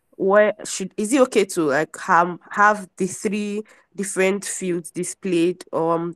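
The speech moves at a moderate pace. The background is quiet, and the sound is dry with no echo. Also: woman. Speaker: event host/MC. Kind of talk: event hosting. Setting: video call. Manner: enthusiastic. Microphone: video call.

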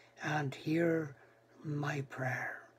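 He speaks very slowly. The voice belongs to a man. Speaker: preacher. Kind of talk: sermon. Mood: calm, reflective. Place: home room. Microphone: webcam.

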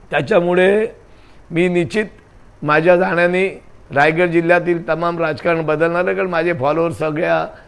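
An unremarkable speaking voice belongs to a man with a fairly high pitch. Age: 60s. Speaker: former state legislator. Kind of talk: news interview.

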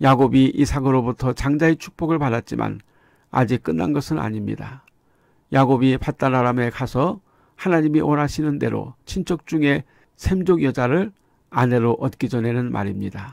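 Recorded very cleanly against a silent background with a dry, close sound and no echo, a man with a normal speaking voice talks at a moderate pace and medium pitch with lively intonation. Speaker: preacher. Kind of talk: sermon. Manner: formal; earnest, didactic.

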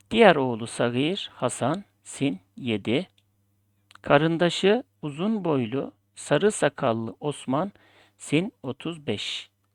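On a very clean recording with a silent background, the words unfold very slowly. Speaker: Ottoman script teacher. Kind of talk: tutorial.

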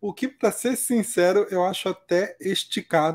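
A man speaks with high pitch. His pace is fairly slow. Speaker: betting analyst co-commentator. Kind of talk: live sports commentary. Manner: relaxed, chatty.

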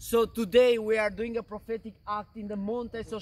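Over light background noise, a man talks in an intense tone with a high pitch. His pace is moderate. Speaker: missionary preacher. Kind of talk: fervent prayer, leading a group in intercession; sermon-like address with prayer. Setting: outdoors in the mountains. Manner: intense, earnest, declaratory; repetitive, call-and-response rhythm. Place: open country. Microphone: camera far.

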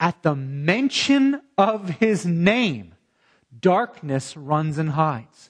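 Against a quiet background, a man with a high pitch speaks at a very slow pace, his pitch swinging very widely. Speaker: pastor. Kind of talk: sermon preached online. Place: church. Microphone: lapel.

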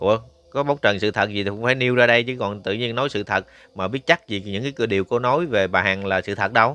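Very fast and bright with a sharp tone, a man speaks at a medium pitch with ordinary pitch variation in a dry, close sound with no echo. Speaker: YouTube news commentator. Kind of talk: news commentary reading a complaint letter aloud. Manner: casual, many filler sounds.

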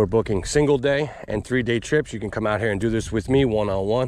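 The speech moves at a moderate pace with fairly even intonation, sounding dry with no echo amid light background noise. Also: man. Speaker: fishing guide. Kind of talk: casual vlog chat. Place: waterside. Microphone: phone near.

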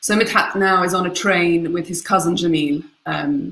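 A woman talks in a fairly low voice. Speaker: guest. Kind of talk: book talk summary. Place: home room. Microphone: webcam.

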